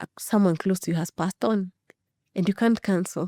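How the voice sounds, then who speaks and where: In a very clean recording with a silent background and a dry, close sound with no echo, a woman with a fairly low, dark, mellow voice speaks at a moderate pace with fairly even intonation. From Kenya. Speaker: children's cartographer and character coach. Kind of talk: interview conversation.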